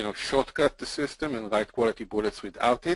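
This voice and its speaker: A man with a non-native accent speaks at medium pitch with ordinary pitch variation, recorded with a dry, close sound and no echo. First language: not English. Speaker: podcast co-host, marketer. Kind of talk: casual chat.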